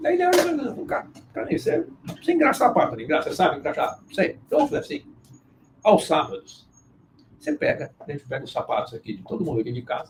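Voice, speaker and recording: A man speaks at a very fast pace but leaves long, frequent pauses. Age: 60s. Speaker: business owner and mission board member. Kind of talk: live interview conversation.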